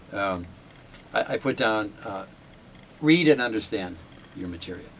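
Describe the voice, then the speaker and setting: A man has a plain, everyday voice, with a fairly low pitch, a moderate pace, lively intonation and big swings in loudness. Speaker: radio jazz show host and newsreader. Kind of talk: interview.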